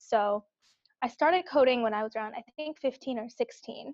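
A woman with a Californian accent speaks with ordinary pitch variation in a dry, close sound with no echo. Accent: Californian American English. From US West Coast, Bay Area (Cupertino). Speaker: product manager. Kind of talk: casual interview chat.

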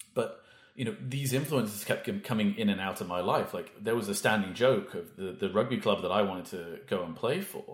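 Somewhat breathy and with a Welsh accent, a man talks at a medium pitch and a fairly quick pace, his pitch swinging very widely. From Wales, small town. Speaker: HR executive. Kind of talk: casual interview.

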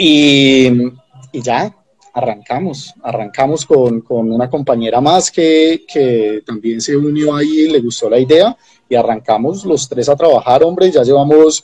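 Fairly slow speech from a man, fairly high in pitch with ordinary pitch variation. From Colombia, Ibagué (Tolima). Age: 30s. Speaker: agronomist and company founder. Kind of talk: interview. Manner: halting, many repetitions and fillers.

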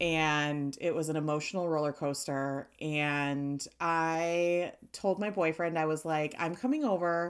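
A raspy yet clear, smooth tone comes at a fairly slow pace with few pauses. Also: woman, low pitch for a woman, fairly even intonation.

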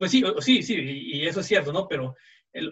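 At a moderate pace, a man speaks. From Mexico. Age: 20s. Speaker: podcast guest, cultural commentator. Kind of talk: casual interview chat. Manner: halting, many repeated words.

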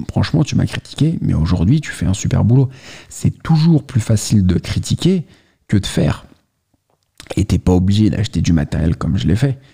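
This man speaks at a fairly low pitch and a fairly quick pace, with very wide pitch swings. His delivery is broken by long, frequent pauses. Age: 30s. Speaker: YouTuber, watch enthusiast. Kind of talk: casual vlog monologue. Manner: casual, addresses listener directly.

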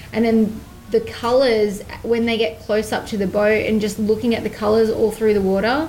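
A woman with a fairly high voice speaks at a moderate pace in a flat monotone, with audible room echo and noticeable background noise. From Australia. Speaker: hunting and fishing TV presenter. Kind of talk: casual chat interview.

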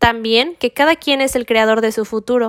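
Intonation is fairly even and the pace fairly slow. The sound is dry and close with no echo, on a very clean recording with a silent background. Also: woman. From Mexico. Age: 20s. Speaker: religious podcast host. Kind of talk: scripted spiritual monologue.

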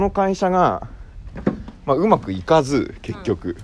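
Against noticeable background noise, a man's voice moves through very wide pitch swings. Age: 30s. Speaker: podcast co-host, island resident. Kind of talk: casual chat.

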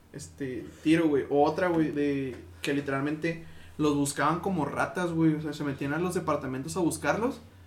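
Audible room echo surrounds a man speaking at a moderate pace with a fairly high pitch and fairly even intonation. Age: 20s. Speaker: podcast co-host and musician. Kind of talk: casual chat.

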